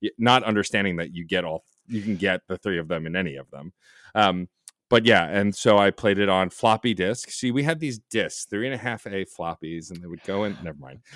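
In a normal speaking voice, a man talks at a fairly quick pace and fairly low pitch with ordinary pitch variation and big swings in loudness, recorded dry and close with no echo and very clean against a silent background. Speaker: podcast host and producer. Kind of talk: casual interview chat.

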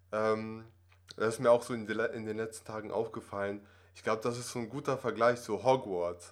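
At a moderate pace, a man with a medium pitch keeps a fairly even intonation but shows big swings in loudness. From Russia, moved to Germany at six. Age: 20s. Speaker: acting student. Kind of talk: interview conversation. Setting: office. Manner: hesitant, many fillers.

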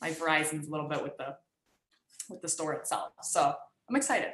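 Talking fairly quickly, a woman uses an ordinary speaking voice at a fairly low pitch. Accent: American. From Michigan, US. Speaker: professional soccer player. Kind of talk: interview.

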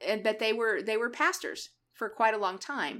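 Recorded very cleanly against a silent background, a woman talks fairly quickly with a fairly high pitch. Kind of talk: casual chat. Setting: Facebook Live video stream. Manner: loud, brash.

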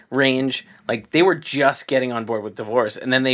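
Speaking at a moderate pace, a man uses an ordinary speaking voice, pitched medium and showing ordinary pitch variation. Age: 30s. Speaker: podcast co-host. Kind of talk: casual chat.

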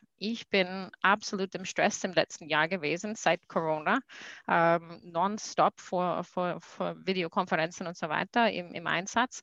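Over a quiet background, a woman with an English accent speaks at a fairly slow pace and fairly even intonation, in a dry, close sound with no echo. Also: fairly low pitch for a woman. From USA. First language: English (speaking German). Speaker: corporate sustainability manager. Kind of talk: interview. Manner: halting.

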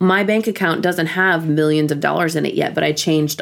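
A woman's ordinary speaking voice with an American accent, fairly low pitch and ordinary pitch variation. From Flint, Michigan, US. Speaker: songwriter and recording artist. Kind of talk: interview.

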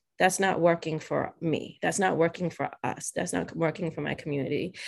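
With fairly even intonation, a woman speaks in a normal speaking voice pitched fairly low. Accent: American. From Massachusetts, South Shore. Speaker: community organizer and activist. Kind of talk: casual interview.

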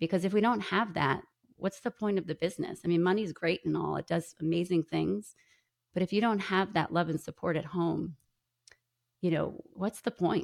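Vocal fry in an American accent at a moderate pace, very even in loudness, with a dry, close sound and no echo. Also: woman, fairly low pitch for a woman, ordinary pitch variation. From New York. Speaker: podcaster and author. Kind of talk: interview.

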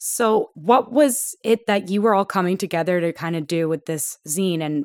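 A woman speaks in an ordinary speaking voice, fairly low in pitch with lively intonation, recorded very cleanly in a dry, close sound with no echo and a silent background. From Toronto, Canada. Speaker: podcast host. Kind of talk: casual interview.

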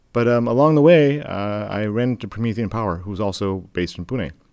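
Speaking with a Midwestern accent, a man uses ordinary pitch variation. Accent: American Midwest. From US Midwest, Michigan. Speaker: solar cold-chain company CEO. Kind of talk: interview.

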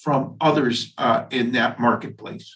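This is a man. He has a normal speaking voice. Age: 60s. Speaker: dentist and podcast host. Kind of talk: interview.

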